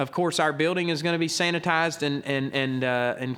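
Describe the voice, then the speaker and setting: Speaking at a moderate pace, a man has a fairly high pitch with ordinary pitch variation. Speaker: pastor. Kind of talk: church announcement. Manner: loud.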